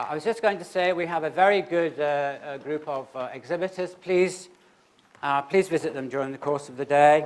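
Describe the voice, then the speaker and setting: With a British accent, a man talks at a fairly quick pace, his loudness swinging widely. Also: fairly high pitch for a man, ordinary pitch variation. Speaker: conference chair, health policy analyst. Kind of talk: conference opening remarks. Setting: auditorium with audience. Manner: fast; hesitant, many fillers.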